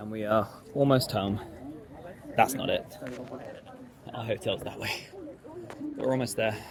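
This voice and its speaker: At a moderate pace and medium pitch, a man speaks with ordinary pitch variation, big swings in loudness and long, frequent pauses, over noticeable background noise. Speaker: hobby sewing vlogger. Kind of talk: casual vlog.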